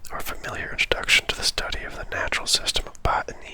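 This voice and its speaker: A fairly quick whisper over noticeable background noise. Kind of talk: ASMR gaming playthrough. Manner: whispered.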